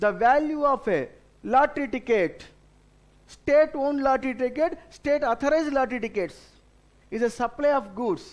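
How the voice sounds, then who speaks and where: Speaking at a moderate pace, a man has an extremely high-pitched voice and lively intonation. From India. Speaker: tax exam lecturer. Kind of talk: lecture. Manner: instructive, addresses students directly. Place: studio.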